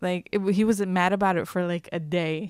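On a very clean recording with a silent background, a woman with an unremarkable speaking voice talks at a fairly slow pace, her medium pitch moving in fairly even intonation. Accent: American. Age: 30s. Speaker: radio station manager and producer. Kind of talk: storytelling in casual chat.

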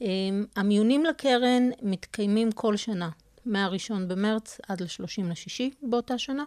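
In a normal speaking voice, a woman talks at a fairly slow pace and a fairly high pitch, with ordinary pitch variation, over a quiet background with a dry, close sound and no echo. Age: 40s. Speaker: scholarship coordinator. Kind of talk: interview.

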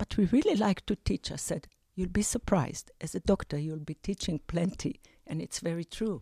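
With lively intonation, a woman of medium pitch speaks in a dark, mellow tone, the sound dry and close with no echo. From Israel, Jerusalem. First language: Hebrew. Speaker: retired teacher and grandmother. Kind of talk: interview conversation. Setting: studio.

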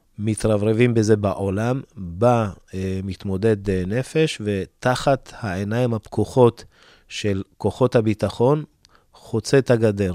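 A man talks at a very slow pace in a dark, mellow tone. His pitch is fairly low, with ordinary variation. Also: dry, close sound with no echo. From Ethiopia. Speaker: youth counselor and family representative. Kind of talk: interview. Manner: hesitant.

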